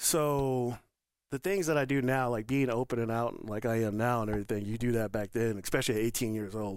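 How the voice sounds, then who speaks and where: The man has an unremarkable speaking voice at a medium pitch, with ordinary pitch variation and a fairly quick pace. The recording is very clean, with a silent background. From Northern Colorado. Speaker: retired army veteran, lifestyle center director. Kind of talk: podcast interview.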